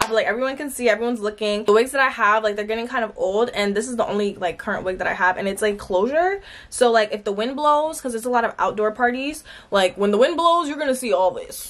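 A woman's animated, very fast speech with ordinary pitch variation. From New Jersey. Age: 20s. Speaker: vlogger. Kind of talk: casual vlog talk to camera. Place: home room. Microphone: phone near.

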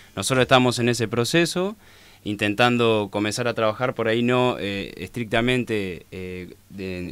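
In a Rioplatense accent, a man talks in a dry sound with no echo. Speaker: social activist. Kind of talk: radio interview. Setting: studio. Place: studio. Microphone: studio mic.

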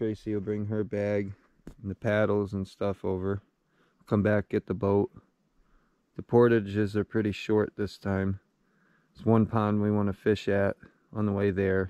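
The speech comes at a moderate pace with monotone, flat intonation and long, frequent pauses, recorded dry with no echo over a quiet background. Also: man. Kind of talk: casual vlog chat. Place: forest.

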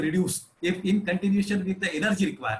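A man speaks with an Indian accent. Some room echo can be heard. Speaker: municipal engineer moderating Q&A. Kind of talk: panel Q&A moderation. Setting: video call webinar. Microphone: video call.

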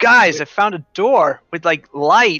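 In a put-on character voice, a man speaks at a high pitch. His pace is fairly slow. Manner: exaggerated, playful.

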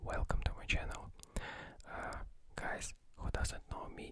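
Whispering with big swings in loudness, a man leaves long, frequent pauses. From Russia. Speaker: ASMR creator learning English. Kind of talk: ASMR word repetition. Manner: whispered, soft-spoken. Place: home room. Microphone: studio mic.

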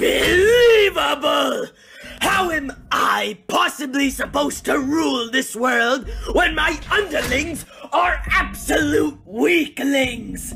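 Over music in the background, a man speaks at a fairly slow pace in a raised, projected voice. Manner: arrogant, resentful, theatrical.

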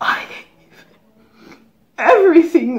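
The woman's intonation is lively. There is a quiet background. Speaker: actor. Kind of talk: dramatic monologue performance. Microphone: phone near.

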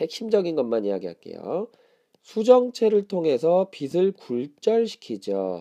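A man talks at a high pitch and a very slow pace, with very wide pitch swings. His tone is dark and mellow, and the sound is dry and close with no echo. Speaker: science teacher. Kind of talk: exam review lecture. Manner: conversational, asks questions.

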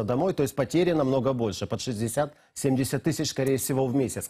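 Heard on a very clean recording with a silent background, a man's dark, mellow, somewhat breathy voice sits at a medium pitch with ordinary variation. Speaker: TV news presenter. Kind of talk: TV news interview. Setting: studio.

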